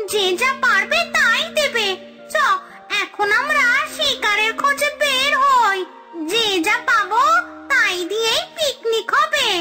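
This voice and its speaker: Over clear background music, a cartoonish character voice at an extremely high pitch moves at a fairly slow pace. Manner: bickering, greedy, cackling.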